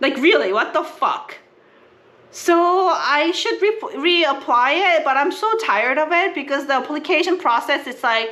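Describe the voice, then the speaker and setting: Projecting her raised voice at a moderate pace, a woman speaks high in pitch with lively intonation. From South Korea. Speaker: family travel vlogger. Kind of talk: casual vlog chat.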